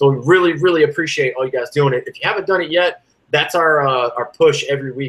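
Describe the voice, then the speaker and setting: Speaking very fast in a Southern US accent, a man uses a fairly high pitch with a bright, sharp tone and ordinary pitch variation. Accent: southern twang. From US South. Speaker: sports podcast co-host and musician. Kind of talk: casual chat. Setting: live-streamed podcast recording.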